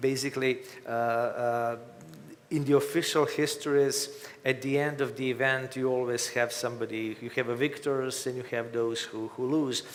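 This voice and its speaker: A man speaks in a monotone, flat intonation. Noticeable background noise runs beneath his voice. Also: medium pitch for a man, moderate pace. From Croatia. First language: Croatian. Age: 50s. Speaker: author. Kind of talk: interview. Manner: halting.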